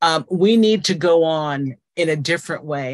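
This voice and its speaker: Against a quiet background, a woman with an American accent speaks at a fairly low pitch with ordinary pitch variation. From New Jersey (Hopewell Valley); New Jersey. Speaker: nonprofit coordinator; panel discussant. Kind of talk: panel discussion. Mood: thoughtful, earnest. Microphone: video call.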